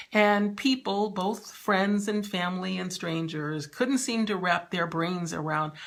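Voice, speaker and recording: A woman talks at a fairly slow pace and a fairly low pitch. It is a plain, everyday voice with ordinary pitch variation. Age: 60s. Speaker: novelist and lifestyle vlogger. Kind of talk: personal vlog monologue. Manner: warm, conversational.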